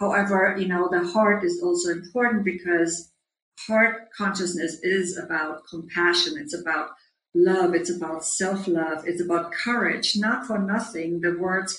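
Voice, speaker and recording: This woman has a fairly low pitch. She speaks with a German accent. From Germany. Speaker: leadership coach. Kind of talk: interview.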